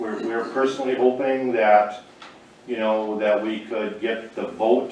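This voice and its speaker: A man talks at a fairly slow pace in a monotone, flat intonation. Noticeable background noise and audible room echo surround his voice. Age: 60s. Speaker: small-town council member. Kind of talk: public meeting testimony. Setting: county commission meeting room. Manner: halting, many repetitions.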